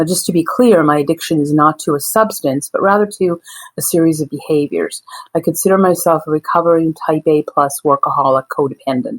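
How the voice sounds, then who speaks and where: A woman with an ordinary speaking voice and a fairly low pitch holds her loudness very even. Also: ordinary pitch variation, fairly quick pace. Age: 60s. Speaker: addictions counselor. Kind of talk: recorded testimony.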